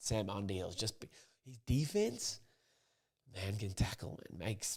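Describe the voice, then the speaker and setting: Whispering quietly, a man speaks at a moderate pace. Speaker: rugby commentator / pundit. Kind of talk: casual rugby preview talk to camera. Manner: quiet, almost whispered.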